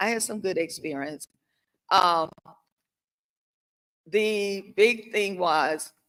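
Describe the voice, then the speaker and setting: Speaking at a very slow pace with long, frequent pauses, a woman with a Southern US accent uses a medium pitch and ordinary pitch variation. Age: 70s. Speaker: panelist. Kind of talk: testimony.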